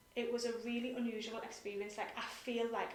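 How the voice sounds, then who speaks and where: A woman with a British accent at a fairly high pitch, with audible room echo and noticeable background noise. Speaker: nonprofit director. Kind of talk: interview. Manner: fast.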